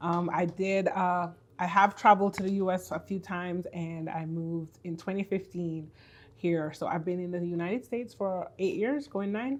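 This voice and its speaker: A woman with a Jamaican accent at a moderate pace, ordinary pitch variation, quiet background. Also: medium pitch for a woman. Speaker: faith-based business and purpose coach. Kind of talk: podcast interview.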